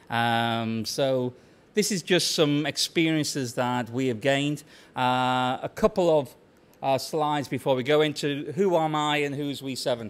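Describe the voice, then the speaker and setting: A man with a British accent talks fairly slowly in a fairly high pitch with ordinary pitch variation. The recording is very clean with a silent background. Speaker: tech company CEO giving conference talk. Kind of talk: conference presentation. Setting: stage with audience. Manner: loud.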